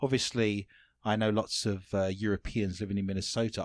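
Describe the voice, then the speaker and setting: A man with a London accent talks at a fairly quick pace, the sound dry and close with no echo. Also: very clean recording, silent background. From London, England. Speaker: interviewer. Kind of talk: interview. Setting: studio.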